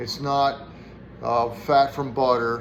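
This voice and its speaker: A man speaks in a monotone with flat intonation. Audible room echo hangs around his voice. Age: 60s. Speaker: firewood vlogger. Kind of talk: personal health talk to camera. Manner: casual, with frequent fillers.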